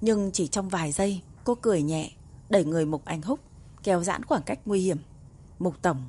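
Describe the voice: The delivery is plain reading aloud. Pitch variation is ordinary.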